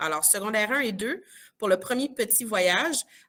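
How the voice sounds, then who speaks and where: The woman's tone is bright and sharp. Her pitch varies in an ordinary way. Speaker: teacher presenting school trips. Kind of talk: information session presentation.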